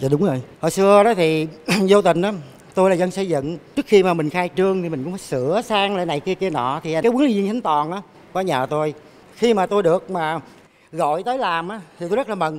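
With ordinary pitch variation, the voice goes at a fairly quick pace. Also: man, high pitch for a man. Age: 60s. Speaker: construction worker, gym enthusiast. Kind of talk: TV show interview. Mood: earnest, emotional at times. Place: stage. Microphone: handheld.

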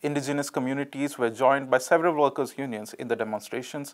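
Over a very clean recording with a silent background, a man talks at a fairly quick pace and medium pitch in a normal speaking voice. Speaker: news presenter. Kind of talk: news reading, scripted headlines and reports. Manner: formal, steady, neutral newsreader delivery.

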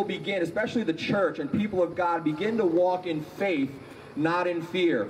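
Light background noise sits behind a man's high-pitched voice. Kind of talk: service announcements and prayer intro. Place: street. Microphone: handheld.

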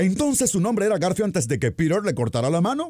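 Speech moves at a fairly quick pace. Its tone is dark and mellow. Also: man. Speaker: voice-over narrator. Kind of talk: parody movie trailer narration.

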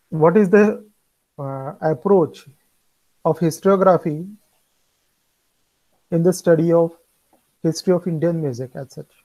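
A man with a high voice and a dark, mellow tone speaks at a moderate pace with fairly even intonation against a quiet background. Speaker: music lecturer. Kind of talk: lecture. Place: home room. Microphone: earbuds.

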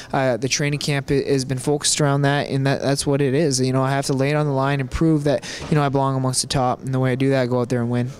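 A man rattles along at a very fast pace with hardly any pauses, his fairly high voice flat and monotone at very even loudness, the sound dry with no echo over light background noise. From Canada. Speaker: professional MMA fighter; interviewee. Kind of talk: interview. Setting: hotel. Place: hall.

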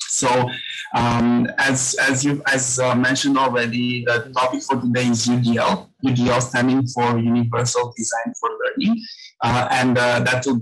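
At a moderate pace, a man speaks. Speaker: guest. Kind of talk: webinar presentation. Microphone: webcam.

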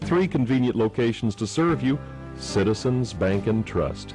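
A man at a moderate pace with very wide pitch swings, faint music in the background. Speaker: radio host; war veteran. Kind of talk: radio commercial read. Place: studio.

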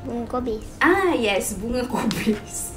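Music plays in the background as a woman speaks. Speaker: vlogger. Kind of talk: casual unboxing vlog chat. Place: home room. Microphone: camera far.

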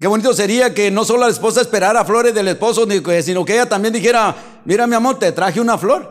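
Against a quiet background, a man talks at a very fast pace in a high pitch with fairly even intonation. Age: 50s. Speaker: pastor. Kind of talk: sermon. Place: church. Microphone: handheld.

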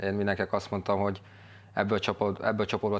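A man is speaking. His voice sits fairly low. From Hungary. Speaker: footballer. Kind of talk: casual chat. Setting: studio. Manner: halting. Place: studio. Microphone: lapel.

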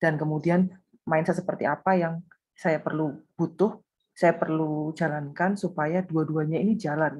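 With a plain, everyday voice, a woman speaks at a moderate pace with a fairly low pitch and fairly even intonation over a quiet background. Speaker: small business owner, participant. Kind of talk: interview answer. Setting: video call. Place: home room. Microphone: video call.

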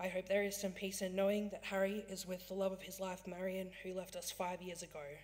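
Speaking at a fairly quick pace with hardly any pauses, a woman delivers her words in a monotone, flat intonation over noticeable background noise. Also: medium pitch for a woman. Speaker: funeral celebrant in training. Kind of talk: funeral ceremony address. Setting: chapel. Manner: solemn, gentle.

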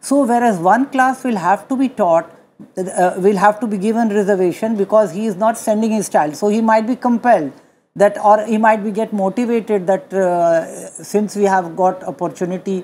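Over light background noise, a woman with a dark, mellow tone speaks at a moderate pace with ordinary pitch variation. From India. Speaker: retired judge. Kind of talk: studio panel discussion. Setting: studio with audience. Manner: halting, with fillers. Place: studio. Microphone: lapel.

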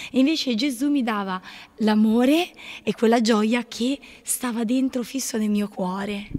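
A woman speaks at a fairly slow pace, with long, frequent pauses. Her pitch is fairly high, with ordinary pitch variation. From Apulia, southern Italy. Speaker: nun. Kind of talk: testimony. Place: home room. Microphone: handheld.

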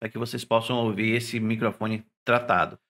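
Here a man speaks at a moderate pace. His tone is bright and sharp. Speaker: tech youtuber. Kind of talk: product review tutorial. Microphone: testing new condenser mic and interface; studio mic.

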